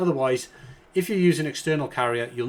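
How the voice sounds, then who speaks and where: This man speaks with a British accent and ordinary pitch variation. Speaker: online business coach. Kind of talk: tutorial.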